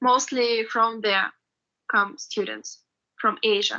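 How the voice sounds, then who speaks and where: Very slowly, a woman speaks in a high pitch with a bright, sharp tone. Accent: Russian. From Russia. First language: Russian. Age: 20s. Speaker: university student. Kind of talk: interview. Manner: halting.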